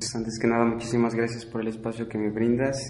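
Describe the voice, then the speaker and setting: Audible room echo surrounds a man speaking at medium pitch. His intonation is flat and monotone. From Mexico. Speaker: exchange student. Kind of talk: interview testimony.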